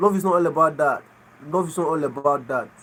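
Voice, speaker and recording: Here a man speaks with a Nigerian accent. His pitch is high, with ordinary variation. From Nigeria (Igbo). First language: Igbo. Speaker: livestreamer. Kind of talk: casual chat. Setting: live stream.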